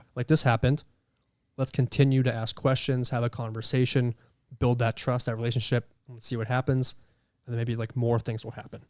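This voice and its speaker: On a very clean recording with a silent background, a man at medium pitch talks at a fairly quick pace in a monotone, flat intonation with big swings in loudness. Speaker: paranormal investigator. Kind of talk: casual chat. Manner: loud, projecting voice.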